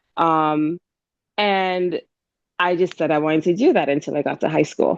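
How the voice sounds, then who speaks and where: In an ordinary speaking voice, a woman talks at a moderate pace with a fairly low pitch and fairly even intonation. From Jamaica, moved to Hamilton, Canada at about 12. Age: 30s. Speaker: event planner and entrepreneur. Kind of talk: interview conversation. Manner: casual, many fillers and restarts.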